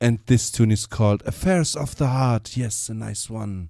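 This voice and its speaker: This man speaks at a fairly slow pace in a German accent, his medium-pitched voice dark and mellow and his intonation fairly even. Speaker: reggae radio DJ. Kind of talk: live radio DJ announcements. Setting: live radio studio broadcast. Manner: relaxed, informal.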